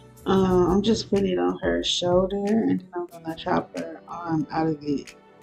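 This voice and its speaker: Music plays in the background. Over it, a woman speaks at a fairly slow pace. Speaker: avatar editing tutorial maker. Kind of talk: casual tutorial voiceover. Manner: casual, hesitant with fillers.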